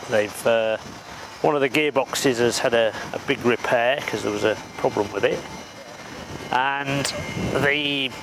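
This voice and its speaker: Fairly even intonation and a fairly slow pace with long, frequent pauses, in a dry sound with no echo over noticeable background noise. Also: man. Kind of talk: explanatory walkthrough. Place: open country. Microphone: lapel.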